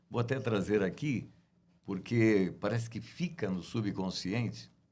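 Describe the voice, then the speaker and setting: A man talks at a fairly slow pace with a fairly low pitch and vocal fry. The recording is very clean, with a silent background. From Brazil, Guarulhos (São Paulo). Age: 60s. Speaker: radio announcer and journalist. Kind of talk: interview.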